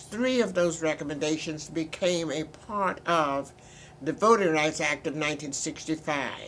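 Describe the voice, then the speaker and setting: A woman's very deep, low voice moves at a moderate pace, its pitch varying in an ordinary way. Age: old. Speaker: civil rights attorney. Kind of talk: interview answer.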